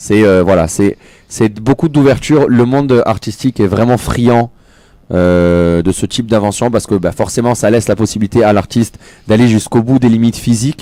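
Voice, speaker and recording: The voice has a dark, mellow tone, very even loudness and ordinary pitch variation. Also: man, medium pitch for a man. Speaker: technology expert columnist. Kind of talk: radio panel discussion. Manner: fast.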